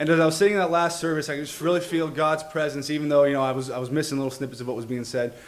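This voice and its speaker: This man's voice sits fairly high, with fairly even intonation. Audible room echo and noticeable background noise surround him. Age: 20s. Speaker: bible college student. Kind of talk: testimony. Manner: halting.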